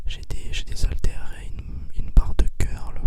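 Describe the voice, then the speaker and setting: A man whispering at a fairly slow pace amid noticeable background noise. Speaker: ASMR creator. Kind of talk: casual talk to camera, ASMR whisper. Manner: whispered, soft, close to the microphone.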